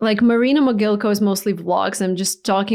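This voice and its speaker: A woman talks at a fairly quick pace with a Russian accent. Her intonation is fairly even over a quiet background. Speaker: YouTube creator. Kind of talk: interview.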